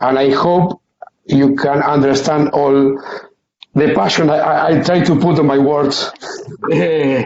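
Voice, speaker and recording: With a Spanish accent, a man with a fairly high pitch speaks at a fairly slow pace with ordinary pitch variation. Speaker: umpire trainee. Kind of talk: video call discussion. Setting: video call. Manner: halting.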